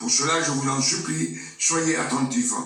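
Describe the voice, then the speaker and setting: A man talks at a very slow pace. The room echo is audible, and there is noticeable background noise. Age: 70s. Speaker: preacher. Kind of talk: sermon. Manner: halting.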